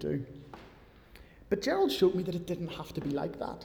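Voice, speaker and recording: A man with a Northern Irish accent speaks at a fairly high pitch with lively intonation. His pace is moderate, and the room echo is audible. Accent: Northern Irish (Belfast). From Northern Ireland, near Belfast. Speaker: preacher. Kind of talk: sermon. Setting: church.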